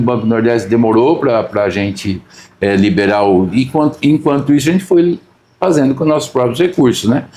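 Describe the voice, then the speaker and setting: A man's ordinary speaking voice, very even in loudness, with lively intonation at a moderate pace. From Brazil, São Paulo. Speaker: agribusiness company president. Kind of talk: interview conversation. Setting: on location, not studio.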